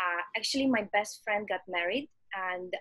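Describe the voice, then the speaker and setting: A woman speaks in a Russian accent at medium pitch with ordinary pitch variation. Her pace is moderate. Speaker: startup executive. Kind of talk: interview. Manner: halting.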